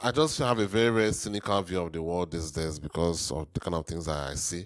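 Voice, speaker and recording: On a very clean recording with a silent background, a man talks at a fairly quick pace in a very deep, low pitch with lively intonation. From Nigeria. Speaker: reaction video host. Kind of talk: casual reaction commentary. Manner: hesitant, with fillers and repetitions.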